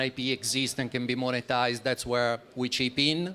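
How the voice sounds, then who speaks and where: The man has an Italian accent and a medium pitch. His tone is bright and sharp, and he talks at a fairly quick pace. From Italy. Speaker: startup founder presenting project. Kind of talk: conference presentation. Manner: halting, many fillers.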